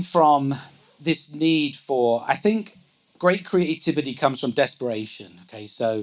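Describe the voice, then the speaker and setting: Speaking at a fairly slow pace, a man uses lively intonation. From England. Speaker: business executive. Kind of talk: onstage interview. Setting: live event with audience.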